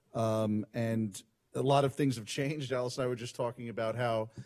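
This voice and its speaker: A man speaks at medium pitch with a New York accent. His intonation stays fairly even and his pace is fairly quick. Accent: New York City. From New York City, Brooklyn. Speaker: transportation lawyer and lecturer. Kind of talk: conference talk. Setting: conference stage, live streamed. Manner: fast.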